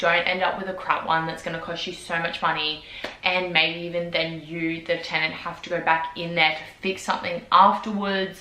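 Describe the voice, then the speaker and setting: Moderately paced, monotone, flat speech from a woman with an Australian accent and a fairly low pitch, over noticeable background noise. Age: 20s. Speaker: vlogger. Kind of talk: casual talk to camera.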